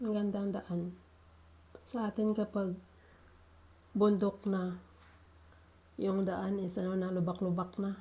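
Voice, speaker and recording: With long, frequent pauses, a woman speaks at a fairly slow pace in a medium pitch, her dark, mellow tone somewhat breathy and her intonation monotone and flat. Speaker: vlogger. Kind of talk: vlog voice-over. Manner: casual.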